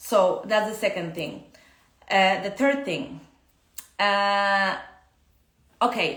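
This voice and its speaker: A woman's very slow speech with a Polish accent and ordinary pitch variation, in audible room echo. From Poland. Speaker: dance teacher. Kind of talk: casual live-stream talk. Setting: Instagram live stream. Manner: halting, many fillers.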